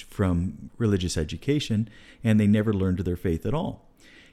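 At a moderate pace, a man with an American accent speaks in a very deep, low, dark and mellow voice with ordinary pitch variation. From California. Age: 50s. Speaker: deacon and podcast host. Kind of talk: casual chat.

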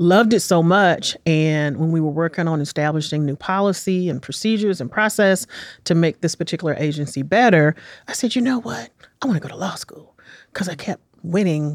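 A woman with an American accent and a normal speaking voice talks fairly quickly at a fairly low pitch, with lively intonation and big swings in loudness. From Washington, D.C. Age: 50s. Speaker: city small business development director. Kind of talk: interview. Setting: studio.

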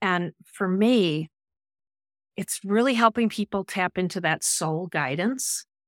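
A woman talks fairly slowly in a plain, everyday voice at medium pitch, with ordinary pitch variation and a dry, close sound with no echo. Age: 60s. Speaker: life coach. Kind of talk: casual interview chat. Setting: live streamed online.

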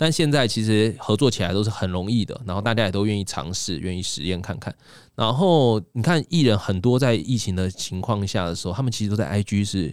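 In a very clean recording with a silent background, a man with a fairly low pitch speaks at a fairly quick pace with lively intonation and hardly any pauses. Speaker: magician and livestreaming executive. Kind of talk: casual interview chat. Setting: studio. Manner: crisp clear articulation.

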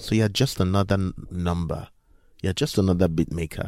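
On a very clean recording with a silent background, the voice has a dark, mellow tone. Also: man. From Nigeria. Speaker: music producer. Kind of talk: interview. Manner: halting.

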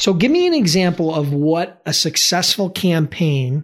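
The man's voice comes across as somewhat breathy. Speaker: podcast host. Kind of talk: interview. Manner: fast.

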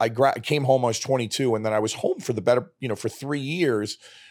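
A man in a New York accent, medium-pitched, with fairly even intonation at a very fast pace, in a very clean recording with a silent background. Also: hardly any pauses. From New York, Brooklyn. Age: 50s. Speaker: podcast guest, father of the host, former finance worker. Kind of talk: casual chat. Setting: studio.

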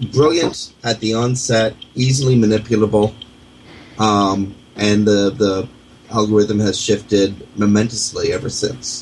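A man with a Canadian accent talks fairly slowly at a fairly low pitch, with fairly even intonation. Background noise is noticeable. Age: 40s. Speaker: radio host. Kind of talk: internet radio talk show.

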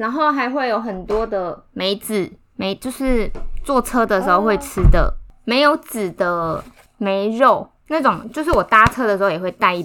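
Bright and sharp in tone, a woman speaks at a fairly slow pace with a fairly high pitch and lively intonation. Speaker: podcast co-host. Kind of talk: casual chat.

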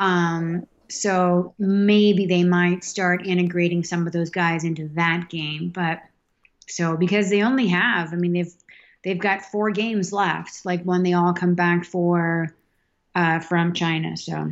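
A woman with a Boston accent, fairly low in pitch, in a monotone, flat intonation. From Massachusetts, South Boston. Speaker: hockey fan. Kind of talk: casual chat.

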